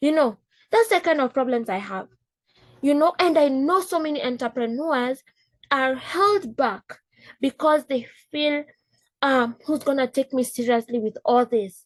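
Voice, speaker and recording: A woman with an African accent, high in pitch and animated in tone, with long, frequent pauses, in a dry, close sound with no echo. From East Africa. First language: Swahili. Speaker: business coach. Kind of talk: casual talk.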